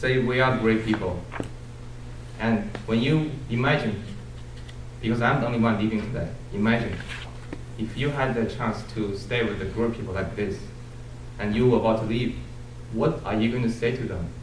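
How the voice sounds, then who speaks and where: With a Chinese accent, a man talks at a moderate pace and medium pitch, using fairly even intonation and long, frequent pauses. The room echo is audible and the background noise is noticeable. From China. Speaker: Toastmasters club member, student. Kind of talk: farewell speech. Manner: halting.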